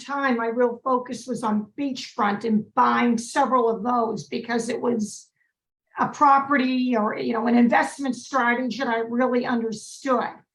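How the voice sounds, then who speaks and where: A woman speaks in a Massachusetts accent at a high pitch. Her pace is fairly slow and her intonation fairly even. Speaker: real estate broker and investor. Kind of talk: webinar presentation.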